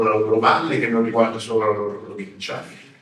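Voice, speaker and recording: A man's voice is heard with audible room echo. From Tuscany, Florence. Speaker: history professor. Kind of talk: lecture. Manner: hesitant, many fillers.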